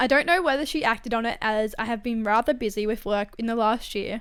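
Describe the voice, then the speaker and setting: A woman speaks in an animated tone. Her pitch is fairly high. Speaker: podcast host reading and commenting on online stories. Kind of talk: reading aloud with casual commentary. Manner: fast.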